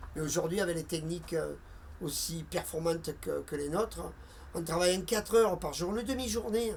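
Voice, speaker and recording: A man speaks in a high pitch with ordinary pitch variation. His pace is fairly quick. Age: 60s. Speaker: retired shipyard worker. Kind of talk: interview testimony. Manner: halting, with repetitions.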